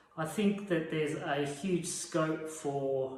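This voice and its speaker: A man speaks with an Australian accent and ordinary pitch variation. The recording carries noticeable background noise and audible room echo. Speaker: veterinary radiographer. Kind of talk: informal talk to camera.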